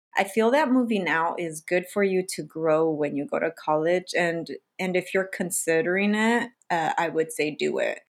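In a very clean recording with a silent background, a woman with an American accent and an ordinary speaking voice talks at a medium pitch and a moderate pace. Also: ordinary pitch variation. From US, low-income diverse community. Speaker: doctor and podcast host. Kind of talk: casual chat.

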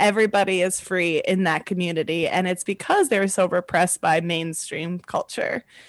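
Speaking at a moderate pace with an American accent, the voice keeps a fairly even intonation in a dry, close sound with no echo against a quiet background. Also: woman, medium pitch for a woman. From US South, northern Virginia near DC. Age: 30s. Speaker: comedian. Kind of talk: casual chat. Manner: loud and emotional; laughs often.

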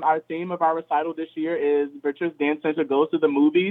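Here is a man speaking. He has an American accent. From Richmond, Virginia. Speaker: dance studio co-owner and choreographer. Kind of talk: interview. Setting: phone call.

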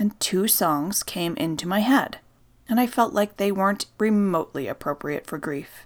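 A woman with an unremarkable speaking voice at a medium pitch uses lively intonation, in a very clean recording with a silent background. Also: moderate pace. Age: 30s. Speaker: podcast host and storyteller. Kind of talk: scripted narration. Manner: calm, soothing.

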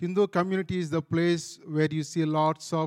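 A man with an Indian accent and a fairly high pitch, at a moderate pace with fairly even intonation, in a dry, close sound with no echo. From India, Andhra Pradesh. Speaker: pastor. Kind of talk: testimony.

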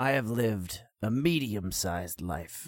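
In a very clean recording with a silent background, a man uses a put-on character voice, fairly low in pitch, with ordinary pitch variation and a fairly slow pace. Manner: boastful, blunt, swaggering.

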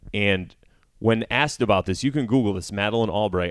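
Over a very clean recording with a silent background, a man with an American accent talks at a very fast pace with ordinary pitch variation. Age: 40s. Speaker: podcast host and comedian. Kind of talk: casual chat.

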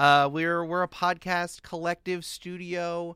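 The recording is very clean, its background silent. A man talks in an American accent, his tone bright and sharp. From Westchester County, New York. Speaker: podcast producer. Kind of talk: casual chat.

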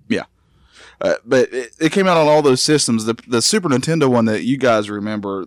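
A man's animated, lively-intoned voice at medium pitch and a fairly quick pace, dry and close with no echo, on a very clean recording with a silent background. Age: 30s. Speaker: video game expert guest. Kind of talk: casual podcast chat. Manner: animated, jokey.

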